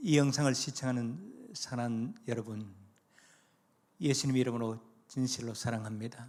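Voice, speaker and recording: With audible room echo, a man of medium pitch speaks with ordinary pitch variation and long, frequent pauses. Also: moderate pace. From South Korea, North Gyeongsang (Gumi countryside). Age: 70s. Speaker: retired pastor. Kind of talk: evangelistic sermon with life testimony.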